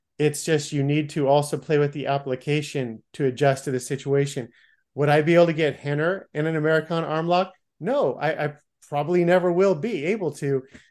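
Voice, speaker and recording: Against a quiet background, a man talks at a fairly quick pace in a fairly high pitch. It is an ordinary speaking voice with fairly even intonation. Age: 50s. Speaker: martial arts podcast host. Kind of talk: casual interview chat.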